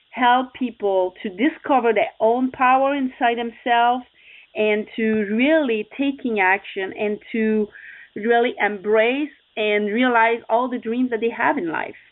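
Speaking at a fairly slow pace, a woman uses a fairly high pitch. She has a non-native accent. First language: not English. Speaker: success coach and motorcycle racer. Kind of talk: interview. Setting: radio show.

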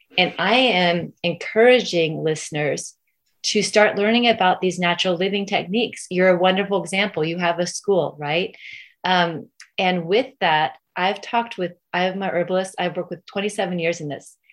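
A woman with a plain, everyday voice and an American accent speaks at a moderate pace. Her pitch is medium with ordinary variation, over a quiet background. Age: 50s. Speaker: parent rights activist. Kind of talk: interview.

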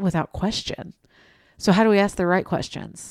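In an East Tennessee accent, a woman speaks in an animated tone on a very clean recording with a silent background and a dry, close sound with no echo. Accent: Southern US (East Tennessee). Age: 30s. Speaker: podcast host. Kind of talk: casual interview chat. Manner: animated, chatty, self-deprecating.

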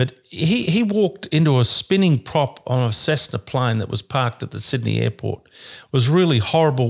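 In a very clean recording with a silent background and a dry, close sound with no echo, a man speaks at a moderate pace with an Australian accent. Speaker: sports commentator. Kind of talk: casual chat.

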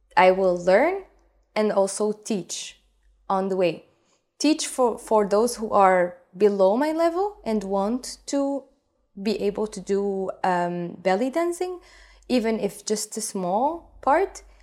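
A woman speaks at a very slow pace with fairly high pitch and lively intonation, on a very clean recording with a silent background. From Egypt. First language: Arabic. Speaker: belly dance teacher. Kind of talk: interview.

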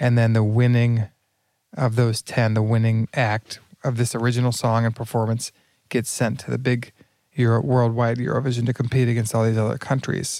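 A medium-pitched man with a dark, mellow tone speaks at a moderate pace in a monotone, flat intonation, on a very clean recording with a silent background. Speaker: conference speaker and video producer. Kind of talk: casual chat. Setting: airport lounge, shared microphones.

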